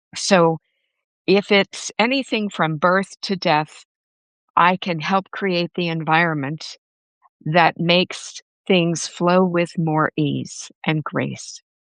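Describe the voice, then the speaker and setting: A woman at a fairly low pitch, very slow and fairly even in intonation, with a dry, close sound, no echo, and a quiet background. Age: 70s. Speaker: professional organizer and co-host. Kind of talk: casual chat.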